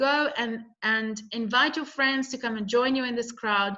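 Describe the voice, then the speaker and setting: Raising and projecting her voice, a woman speaks at a moderate pace in a bright, sharp tone with lively intonation. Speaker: network marketing presenter. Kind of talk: sales pitch. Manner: animated.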